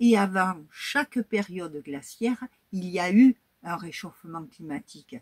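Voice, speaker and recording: At a very slow pace, a somewhat breathy voice speaks with lively intonation, heard dry and close with no echo. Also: woman. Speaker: YouTuber, history and crafts channel. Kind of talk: casual vlog talk to viewers.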